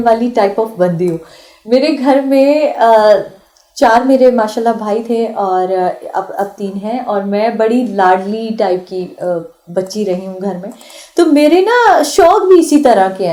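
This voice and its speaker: With lively intonation, a woman speaks in a dark, mellow tone at a fairly high pitch. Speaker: actress and voice artist. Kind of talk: radio interview. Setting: radio studio. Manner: sweet-toned.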